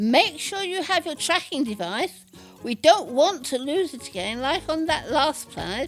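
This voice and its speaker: Faint music plays behind a woman doing a put-on character voice, pitched high and delivered at a moderate pace. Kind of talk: audio drama.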